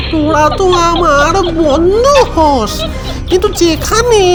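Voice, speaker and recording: Set to clear background music, a cartoonish character voice squeaks at an extremely high pitch and a very slow pace. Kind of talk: comic overacting. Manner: exaggerated, playful.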